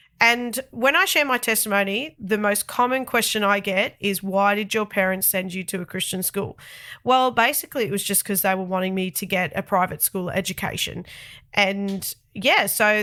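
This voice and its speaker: A woman with an Australian accent speaks in a bright, sharp tone on a very clean recording with a silent background. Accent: thick Australian. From Australia, Sydney. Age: 30s. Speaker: podcast host. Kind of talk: personal testimony podcast. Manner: casual, chatty.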